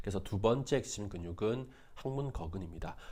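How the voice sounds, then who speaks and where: Speaking at a moderate pace, a man with a fairly low pitch is heard with audible room echo. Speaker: physical therapy instructor. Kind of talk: lecture.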